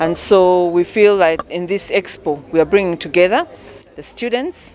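A woman talks at a moderate pace with fairly low pitch. Her pitch variation is ordinary.

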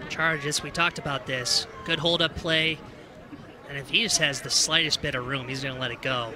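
Over noticeable background noise, a man is speaking. His pitch is fairly high and his pace fairly quick. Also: fairly even intonation. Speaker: color analyst. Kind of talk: analyst commentary over live play. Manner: measured, explanatory, conversational.

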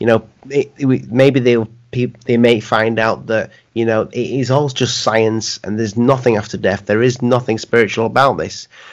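This man has an unremarkable speaking voice, medium in pitch, with fairly even intonation and a moderate pace. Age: 40s. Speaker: YouTube channel host and interviewer. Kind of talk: casual interview.

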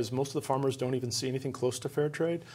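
The intonation stays fairly even. The speaker is a man. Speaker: chocolate company founder. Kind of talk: interview. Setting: studio. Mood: friendly, enthusiastic. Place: studio.

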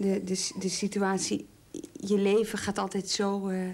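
A woman is speaking. Her voice is somewhat breathy. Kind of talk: interview. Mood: serious, reflective, hesitant. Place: home room.

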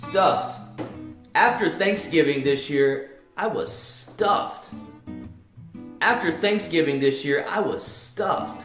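A man talks at a very slow pace, leaving long, frequent pauses. Room echo is audible, and faint music plays in the background. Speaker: English teacher. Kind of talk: tutorial. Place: home room. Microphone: camera far.

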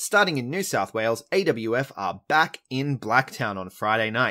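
A very clean recording with a silent background carries a man speaking with an Australian accent. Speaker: podcast host. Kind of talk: casual chat. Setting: in person.

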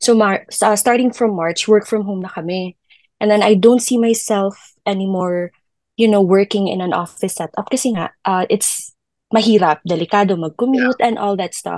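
In a dry sound with no echo and a quiet background, a woman speaks at a moderate pace and a medium pitch with ordinary pitch variation. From Philippines. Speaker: virtual assistant, former teacher; former teacher. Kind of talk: casual interview. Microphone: video call.

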